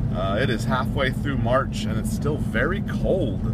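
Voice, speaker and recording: A man is heard over loud background noise in a dry recording with no echo. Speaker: vlogger. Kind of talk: casual vlog chat. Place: car. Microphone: phone near.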